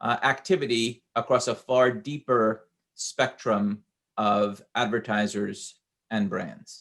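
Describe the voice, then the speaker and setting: A man's medium-pitched voice in a New York accent, at a very slow pace with ordinary pitch variation. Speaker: industry executive speaker. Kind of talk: conference presentation. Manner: halting with filler uhs.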